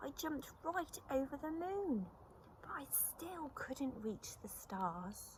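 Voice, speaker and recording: In a put-on character voice, a croaky, female-sounding speaker talks at a very slow pace with high pitch over clear background noise. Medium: read story.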